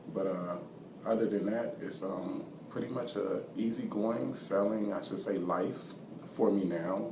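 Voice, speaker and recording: Soft-spoken and with an American accent, a man talks at a fairly slow pace in a fairly low pitch with ordinary pitch variation, amid noticeable background noise and audible room echo. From US, Washington DC and Georgia. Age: 20s. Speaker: basketball coach and student. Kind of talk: interview. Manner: halting, many fillers.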